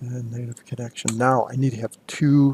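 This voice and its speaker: A man speaks in a plain, everyday voice at medium pitch with fairly even intonation. The sound is dry and close, with no echo. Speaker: college instructor. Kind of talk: screen-recorded tutorial. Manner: casual with fillers.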